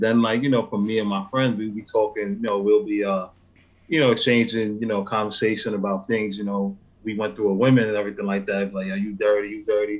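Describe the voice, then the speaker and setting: At a very fast pace, the speaker has a New York accent and monotone, flat intonation. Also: man, fairly low pitch for a man. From New York, the Bronx. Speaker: hip hop artist. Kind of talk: interview. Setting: live stream call.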